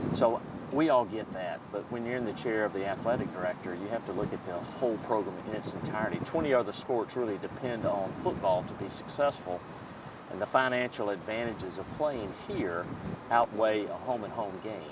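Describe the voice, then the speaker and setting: A man with an American accent speaks fairly quickly at a fairly low pitch. There is noticeable background noise. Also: ordinary pitch variation. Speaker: college sports administrator. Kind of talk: TV interview.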